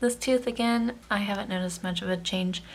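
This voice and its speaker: The speaker is somewhat breathy and moves at a fairly quick pace. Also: woman. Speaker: vlogger. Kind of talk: casual vlog update. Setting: handheld camera at home. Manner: hesitant, filler-heavy.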